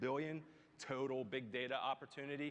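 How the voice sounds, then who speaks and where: With a Philadelphia accent, a man speaks at a medium pitch in a monotone, flat way. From US Northeast, Philadelphia. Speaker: tech executive. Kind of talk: keynote speech. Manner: filler-heavy, with frequent um and you know.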